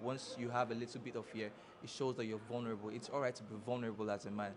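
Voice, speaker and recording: This man talks at a very fast pace. His pitch is medium and his intonation is monotone and flat. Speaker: pageant contestant. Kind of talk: interview answer.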